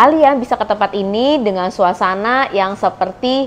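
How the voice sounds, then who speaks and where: The intonation is lively and the pace moderate. Light background noise sits behind the voice. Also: woman. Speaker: travel vlogger. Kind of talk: casual vlog chat. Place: cafe.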